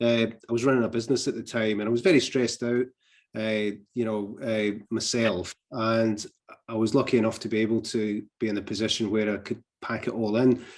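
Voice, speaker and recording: A man talks at a fairly quick pace in a medium pitch, his intonation monotone and flat. The background is quiet. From Scotland. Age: 60s. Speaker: retired mental health nurse. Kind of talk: interview. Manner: hesitant, frequent fillers and restarts.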